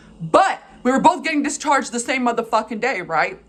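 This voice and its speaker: A woman talks at a very fast pace with lively intonation and an animated tone. Noticeable background noise sits behind her. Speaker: vlogger telling personal stories. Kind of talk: casual storytelling monologue.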